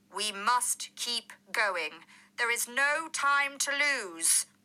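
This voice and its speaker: A woman's put-on character voice, high in pitch, at a very slow pace. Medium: read story.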